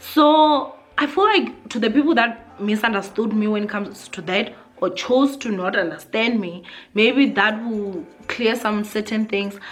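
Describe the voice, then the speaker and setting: Over music in the background and audible room echo, a woman speaks fairly slowly at a fairly high pitch with ordinary pitch variation. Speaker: YouTuber. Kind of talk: vlog monologue. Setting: sitting on the floor at home. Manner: loud; animated.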